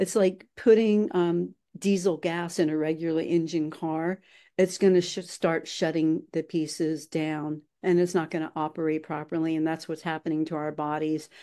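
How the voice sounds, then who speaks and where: A woman speaks at a moderate pace in a fairly low pitch, her dark, mellow tone held to a monotone, flat intonation over a quiet background. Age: 60s. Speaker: author and nutritional genomics advocate. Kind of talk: interview. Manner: hesitant with many filler words.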